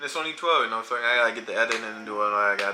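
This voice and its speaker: A man is speaking. Music plays in the background. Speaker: reaction video creator. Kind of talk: casual chat. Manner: animated.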